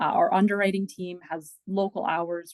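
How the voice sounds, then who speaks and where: A woman's fairly low voice at a moderate pace. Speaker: credit union business development manager. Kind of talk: podcast interview. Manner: halting, self-correcting.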